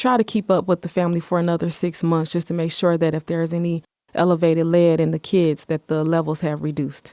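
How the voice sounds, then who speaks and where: In an American accent, a speaker talks at a fairly quick pace in a dark, mellow tone, with a dry, close sound with no echo on a very clean recording with a silent background. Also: woman. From Michigan, Muskegon. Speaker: city department director. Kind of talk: interview.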